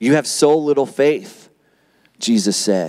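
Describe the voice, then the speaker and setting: Against a quiet background, a man's voice makes very wide pitch swings. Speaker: pastor. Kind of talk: sermon. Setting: church. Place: church. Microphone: handheld.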